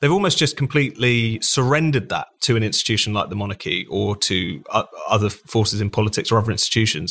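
A man with a British accent talks at a very fast pace, with hardly any pauses and ordinary pitch variation. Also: medium pitch for a man. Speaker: magazine editor. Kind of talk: panel discussion. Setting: remote call.

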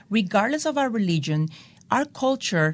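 This woman's voice is somewhat breathy. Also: very clean recording, silent background. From El Salvador. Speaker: tech entrepreneur. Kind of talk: interview.

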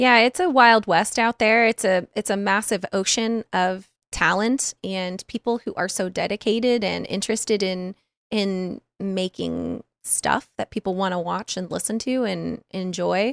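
In a very clean recording with a silent background and a dry, close sound with no echo, a woman with an ordinary speaking voice talks fairly slowly at a medium pitch with fairly even intonation. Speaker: Twitch streamer and podcaster. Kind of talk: casual chat.

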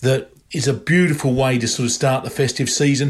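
A man is talking here. There is a somewhat breathy quality to his voice. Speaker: wine merchant. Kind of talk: sales pitch.

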